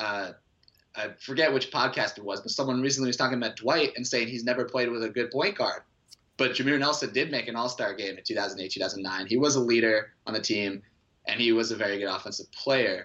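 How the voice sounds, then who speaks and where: A man with an ordinary speaking voice talks fairly quickly at a medium pitch, with ordinary pitch variation. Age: 20s. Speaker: sports blog contributor. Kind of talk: casual chat.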